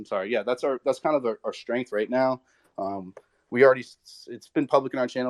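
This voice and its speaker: Very fast and at a medium pitch, a man speaks with a dry, close sound and no echo. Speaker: crypto project founder. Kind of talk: AMA panel discussion. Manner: halting.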